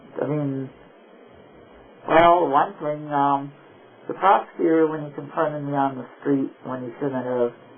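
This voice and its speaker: Noticeable background noise is present throughout the clip. The delivery keeps a moderate pace, and the intonation stays fairly even. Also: man. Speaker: military veteran; activist. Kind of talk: conversation in a counseling session. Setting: recorded counseling session, covert audio. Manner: hesitant, anxious, rambling.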